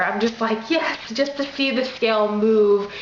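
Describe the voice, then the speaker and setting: Noticeable background noise and audible room echo run through this recording. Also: woman. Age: young. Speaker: vlogger. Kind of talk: casual vlog talk to camera. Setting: at home with kids.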